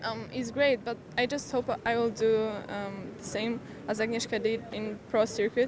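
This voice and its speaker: A woman with a Polish accent speaks at a moderate pace in a monotone, flat intonation, her pitch fairly high, with noticeable background noise. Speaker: junior tennis champion. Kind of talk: post-match interview. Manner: halting.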